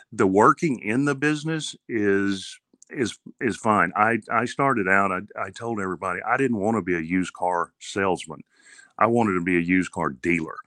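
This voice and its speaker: Speaking at a moderate pace over a quiet background, a man with a Texan accent uses a fairly low pitch, lively intonation and a bright, sharp tone. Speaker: car dealer. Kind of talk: casual interview. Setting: remote call.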